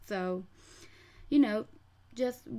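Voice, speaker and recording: A woman with a dark, mellow tone speaks at a fairly slow pace. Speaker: pet bird keeper. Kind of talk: casual website walkthrough talk. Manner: hesitant, repeats words, stutters.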